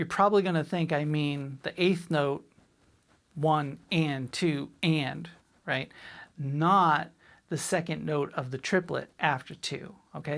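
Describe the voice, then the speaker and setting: Speaking very slowly in an American accent, a woman with a very deep, low voice is heard on a very clean recording with a silent background. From Boston, US. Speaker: drum teacher. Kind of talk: tutorial. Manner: clipped, abbreviated words.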